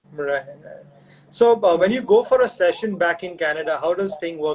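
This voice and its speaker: Over noticeable background noise, a man with an Indian accent and high pitch speaks at a moderate pace. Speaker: session drummer, interviewer. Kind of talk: casual interview. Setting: live video stream.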